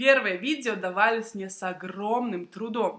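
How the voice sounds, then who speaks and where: Speaking at a very slow pace, a woman uses a fairly high pitch and a bright, sharp tone. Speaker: Russian language teacher. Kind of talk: language-learning vlog talk to camera. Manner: slow, clear.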